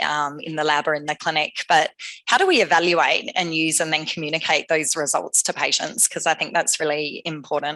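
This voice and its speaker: A woman speaks with a strong Australian accent at a moderate pace. Her very deep, low voice has a bright, sharp tone. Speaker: AI scientist, company founder. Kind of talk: conference talk.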